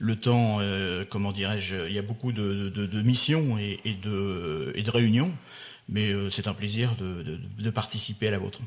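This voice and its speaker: This man's fairly low voice moves with ordinary pitch variation as he talks at a fairly slow pace. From Normandy, France (Le Havre area). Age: 60s. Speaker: port business leader. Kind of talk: radio interview. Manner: halting, many hesitations.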